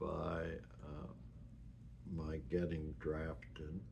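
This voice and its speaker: Amid audible room echo, a man with an American accent speaks very slowly at a very deep, low pitch with vocal fry and ordinary pitch variation. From US Northeast (New York, New Jersey, Massachusetts). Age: 70s. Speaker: retiree sharing his life story. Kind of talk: personal life-story recording. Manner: halting, with many fillers.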